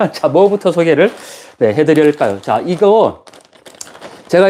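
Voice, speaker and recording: A man speaks in a high pitch. Noticeable background noise is present. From Gyeongsang province, South Korea. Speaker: professor and YouTuber. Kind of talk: live stream chat. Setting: guesthouse room on an island. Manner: many fillers, conversational.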